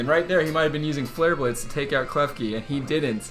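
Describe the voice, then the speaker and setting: Music plays behind a man with a fairly high pitch. He talks at a fairly quick pace with ordinary pitch variation. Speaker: commentator auditioning for Pokémon tournament commentary. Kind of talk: esports-style gameplay commentary.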